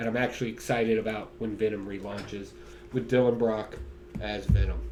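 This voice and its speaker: A man's animated tone at a fairly quick pace, with audible room echo. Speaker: comic book reviewer. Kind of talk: casual solo video review. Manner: slurring words today; animated, casual.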